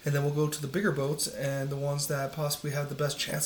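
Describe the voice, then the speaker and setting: The speech is soft-spoken and fairly quick. There is noticeable background noise. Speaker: teacher. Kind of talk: casual video commentary.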